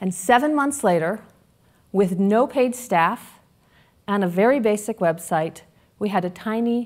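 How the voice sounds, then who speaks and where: Ordinary pitch variation is heard over a quiet background. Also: woman. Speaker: speaker. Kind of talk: prepared public talk. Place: hall. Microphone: headset.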